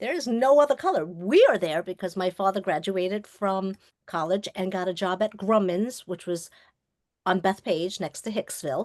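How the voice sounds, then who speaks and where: Recorded in a dry, close sound with no echo, a woman with an American accent speaks at a medium pitch with ordinary pitch variation. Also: moderate pace, quiet background. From US Northeast, Long Island, New York. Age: 60s. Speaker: filmmaker and trauma survivor. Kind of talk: personal testimony in a webinar interview. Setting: webinar. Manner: animated.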